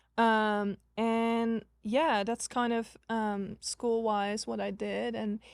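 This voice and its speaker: A woman with a Dutch accent speaks at a very slow pace with hardly any pauses, her fairly high voice monotone and flat, on a very clean recording with a silent background. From Netherlands. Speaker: social media agency owner, former college tennis player. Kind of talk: podcast interview. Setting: live podcast recording.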